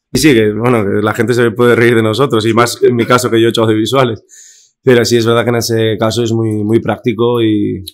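Against a quiet background, a man talks at medium pitch in a flat monotone, keeping a fairly quick pace. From Basque Country, Spain. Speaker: influencer; podcast guest. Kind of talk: casual chat. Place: studio. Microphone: studio mic.

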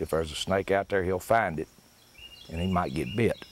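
With a Tennessee accent, a man speaks at a very deep, low pitch in a dry recording with no echo and light background noise. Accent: Southern US (Tennessee). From US South. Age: 50s. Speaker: fishing instructor. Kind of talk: tutorial. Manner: casual. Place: open country. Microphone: lapel.

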